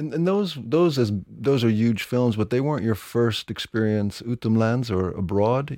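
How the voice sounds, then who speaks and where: A man with an American accent speaks at a moderate pace, medium in pitch, with lively intonation and a dark, mellow tone. The sound is dry and close with no echo, on a very clean recording with a silent background. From US, New York. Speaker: podcast host. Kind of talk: interview; scripted narration.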